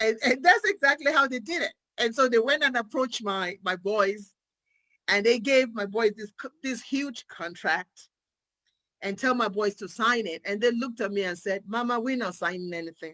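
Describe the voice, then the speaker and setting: Fairly high-pitched, a woman with an African accent speaks at a moderate pace in a bright, sharp, animated tone with lively intonation, on a very clean recording with a silent background and a dry, close sound without echo. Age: 50s. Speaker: psychiatric nurse practitioner. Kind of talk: motivational talk.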